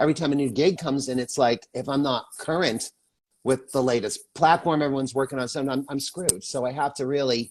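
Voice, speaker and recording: An unremarkable speaking voice from a man, fairly high in pitch, with ordinary pitch variation and a fairly quick pace. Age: 60s. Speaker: actor, filmmaker and makeup artist. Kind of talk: casual chat. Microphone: cheap headset mic.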